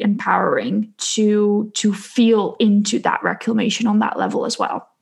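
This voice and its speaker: Speaking with a Dutch accent, a woman uses a fairly high pitch and a monotone, flat intonation. Her fairly slow delivery is somewhat breathy. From Netherlands. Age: 20s. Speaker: spiritual coach and podcaster. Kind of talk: casual interview.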